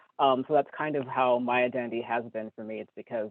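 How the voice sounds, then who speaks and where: With ordinary pitch variation, a man talks at a fairly quick pace in an ordinary speaking voice. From California. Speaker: human rights lawyer. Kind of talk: interview.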